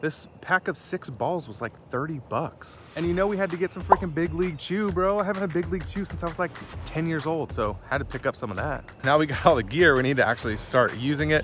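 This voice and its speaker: A man at a very fast pace and fairly high pitch, energetic in tone with lively intonation, over music in the background. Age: 30s. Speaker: amateur baseball vlogger. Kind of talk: casual vlog narration. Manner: casual, energetic.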